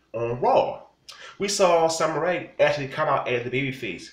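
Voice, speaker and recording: Audible room echo surrounds a voice with lively intonation at a moderate pace. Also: man. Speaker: wrestling commentator vlogger. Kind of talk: angry rant. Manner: loud, indignant, scolding. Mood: annoyed, opinionated. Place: home room. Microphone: phone near.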